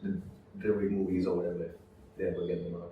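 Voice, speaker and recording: This man has a fairly low pitch and an unremarkable speaking voice. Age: young. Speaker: voice actor. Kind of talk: interview answer.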